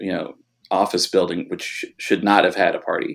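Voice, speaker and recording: On a very clean recording with a silent background, a man speaks with a Californian accent. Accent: Californian American. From Los Angeles. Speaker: DJ. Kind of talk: interview.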